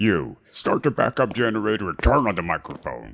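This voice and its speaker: Putting on a character voice, a man talks at a fairly quick pace with a fairly low pitch and lively intonation. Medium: video game. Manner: contemptuous, commanding.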